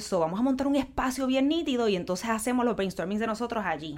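Lively intonation from a woman with a Puerto Rican accent. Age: 40s. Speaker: creative agency co-founder. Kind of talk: casual interview.

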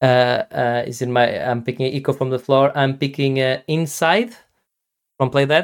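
A man speaks at a medium pitch and a moderate pace. His intonation is fairly even. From Portugal. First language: Portuguese. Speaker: podcast host. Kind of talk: casual chat. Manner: halting, many repetitions and false starts.

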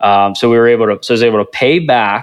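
A man with an ordinary speaking voice talks at a medium pitch. His intonation stays fairly even. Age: 20s. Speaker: real estate investor. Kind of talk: interview.

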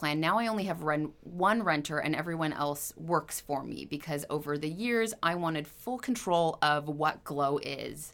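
A woman with a Californian accent, very deep and low in pitch, with vocal fry. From Southern California, Ventura County. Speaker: esthetician and spa owner. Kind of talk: interview conversation. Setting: her skincare studio.

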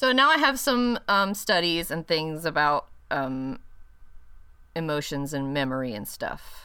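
Her voice is fairly low with a bright, sharp tone, and this woman moves at a fairly slow pace through very wide pitch swings. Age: 30s. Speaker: podcast co-host. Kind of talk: casual chat.

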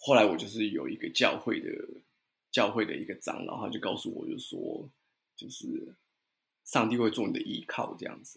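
Long, frequent pauses and big swings in loudness from a man at a moderate pace. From Taiwan. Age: 30s. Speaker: watercolor painter and guesthouse owner. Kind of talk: interview.

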